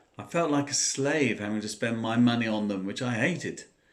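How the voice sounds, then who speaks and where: Using ordinary pitch variation, a man of medium pitch speaks with a southern English accent. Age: 60s. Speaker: former smoker sharing advice. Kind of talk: personal talk to camera.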